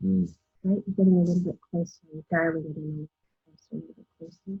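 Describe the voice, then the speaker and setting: Her intonation stays fairly even. There's a somewhat breathy quality when this woman talks. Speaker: podcast host. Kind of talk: interview questions, casual conversation.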